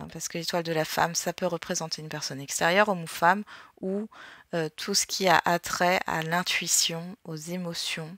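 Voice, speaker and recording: This woman's intonation stays flat and monotone as she talks at a medium speed. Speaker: tarot and astrology guidance youtuber. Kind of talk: card reading guidance monologue. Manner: casual with many fillers.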